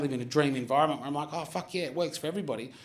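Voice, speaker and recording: With an Australian accent, a man speaks at a fairly high pitch against noticeable background noise. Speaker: comedy podcast host. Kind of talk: live comedy Q&A with audience. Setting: bar stage with live audience.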